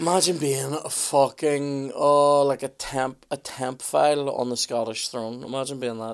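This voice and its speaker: A man speaks at a fairly slow pace in a normal speaking voice, with a fairly high pitch. His intonation stays fairly even. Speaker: podcast co-host. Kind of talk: casual banter.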